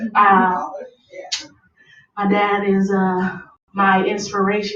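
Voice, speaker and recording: Audible room echo surrounds a woman speaking in an American accent. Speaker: rapper. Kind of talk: interview. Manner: loud.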